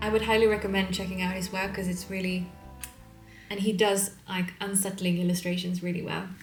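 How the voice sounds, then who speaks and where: A woman speaks at a fairly quick pace, with a medium pitch and monotone, flat intonation. Music plays in the background. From Sweden. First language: Swedish. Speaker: illustrator. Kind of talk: casual talk to camera.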